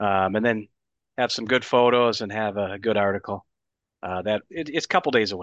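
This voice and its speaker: A man with a plain, everyday voice talks at a fairly quick pace in an American accent, with a fairly low pitch and ordinary pitch variation. The sound is dry and close with no echo, and the background is quiet. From Wisconsin. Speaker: hockey writer. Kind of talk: casual chat. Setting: video call.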